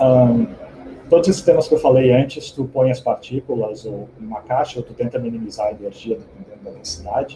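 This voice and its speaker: Somewhat breathy and dark, mellow in tone, a man speaks at a fairly quick pace and medium pitch, with ordinary pitch variation and big swings in loudness. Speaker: physicist giving a seminar. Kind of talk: academic seminar talk. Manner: fast.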